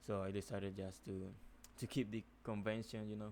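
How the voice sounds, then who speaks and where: With a non-native accent, a man speaks fairly slowly at a fairly low pitch and with fairly even intonation. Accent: non-native English speaker. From Nicaragua. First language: Spanish. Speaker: software developer. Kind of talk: coding tutorial. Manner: hesitant, many fillers.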